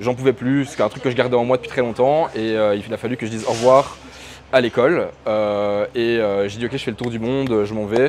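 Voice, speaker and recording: A man with a Belgian accent at a fairly quick pace, ordinary pitch variation, noticeable background noise. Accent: pronounced Belgian French. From Belgium, Brussels. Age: 30s. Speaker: freelance digital marketer. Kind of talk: interview. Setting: in person, Chiang Mai. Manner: hesitant, many fillers.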